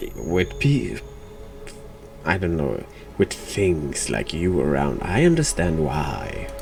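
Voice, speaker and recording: Amid noticeable background noise, a man with a very deep, low pitch makes very wide pitch swings and leaves long, frequent pauses. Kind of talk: casual talk to camera, gameplay commentary.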